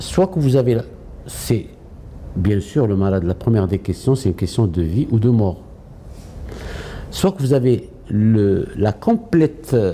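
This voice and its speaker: Over noticeable background noise, a man at a medium pitch makes very wide pitch swings and leaves long, frequent pauses. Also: fairly slow pace. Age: 60s. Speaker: oncologist and healthcare executive. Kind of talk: interview. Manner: hesitant, many fillers.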